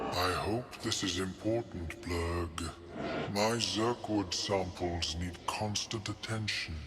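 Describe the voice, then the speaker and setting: Over loud background noise, a man uses a put-on character voice with a very deep, low pitch at a fairly slow pace. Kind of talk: polite scholarly speech. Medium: video game. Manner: calm, courteous, measured.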